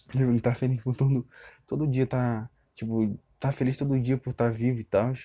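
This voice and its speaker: With a Brazilian accent, a man speaks in a dark, mellow tone and a monotone, flat intonation. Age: 20s. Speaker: podcaster. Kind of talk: personal monologue. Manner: halting; casual.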